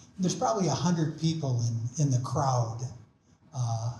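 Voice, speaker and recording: With an American accent, a man speaks fairly slowly in a dark, mellow, somewhat breathy tone with ordinary pitch variation. Audible room echo is present. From Minnesota. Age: 70s. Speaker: invited speaker on energy and climate. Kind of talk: public talk. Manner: halting, many fillers.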